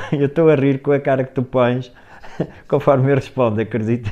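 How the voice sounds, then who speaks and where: A man speaks with a European Portuguese accent. His pitch is medium and his pace fairly quick. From Portugal. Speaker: guest. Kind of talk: casual interview. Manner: laughing. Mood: lively, laughing at times. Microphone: earbuds.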